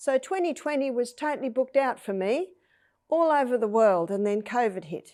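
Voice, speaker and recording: With an Australian accent, a woman speaks at a moderate pace in a high, dark, mellow voice that makes very wide pitch swings. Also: very clean recording, silent background. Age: 60s. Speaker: health educator. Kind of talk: interview testimony.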